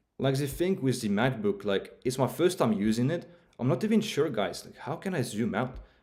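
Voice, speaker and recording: This man talks at a moderate pace in a medium pitch, his voice making very wide pitch swings. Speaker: crypto trading streamer. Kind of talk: live stream commentary. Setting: live stream. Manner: halting.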